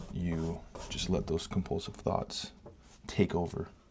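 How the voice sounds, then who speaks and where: Quietly, a man speaks at a fairly slow pace. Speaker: painting vlogger. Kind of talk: casual monologue while painting. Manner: halting.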